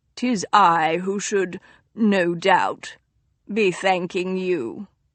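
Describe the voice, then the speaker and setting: Using a put-on character voice, a woman speaks very slowly in a raspy tone at medium pitch with ordinary pitch variation. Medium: read story. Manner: formal, stiff.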